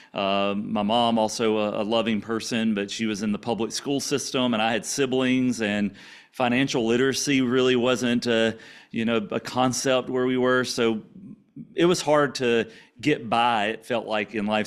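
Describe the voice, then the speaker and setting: A man with an American accent speaks at a medium pitch and moderate pace. His intonation is fairly even, and the recording is very clean with a silent background. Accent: Louisiana country and Cajun with Texas twang. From Louisiana, small farming town. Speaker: podcast guest sharing faith and business story. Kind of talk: interview testimony.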